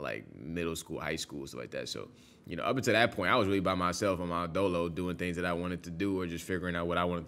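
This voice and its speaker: A man with an American accent, very deep and low in pitch, with a bright, sharp tone, vocal fry, a very fast pace and ordinary pitch variation. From New York. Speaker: reaction video host. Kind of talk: reaction commentary. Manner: clear enunciation; passionate.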